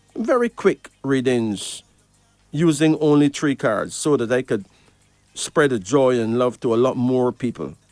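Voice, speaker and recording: A man's medium-pitched voice, fairly slow and with ordinary pitch variation, dry and close with no echo, music in the background. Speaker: radio host and card reader. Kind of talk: radio call-in show. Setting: radio studio.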